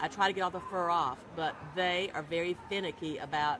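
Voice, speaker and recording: Noticeable background noise sits behind a woman with a Southern US accent. She talks at a fairly quick pace with fairly low pitch and ordinary pitch variation. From US South. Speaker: pet blogger. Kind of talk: live interview.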